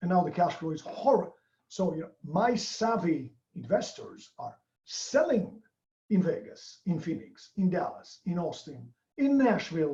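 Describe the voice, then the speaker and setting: Speaking at a moderate pace, a man talks with a non-native accent. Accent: foreign. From outside the US. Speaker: real estate investor. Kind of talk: interview.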